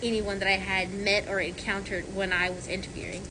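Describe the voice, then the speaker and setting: Talking at a very fast pace, a woman is heard with audible room echo and noticeable background noise. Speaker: sterile processing technician. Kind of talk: casual vlog answering viewer questions. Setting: at work. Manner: loud; rambling, halting with fillers.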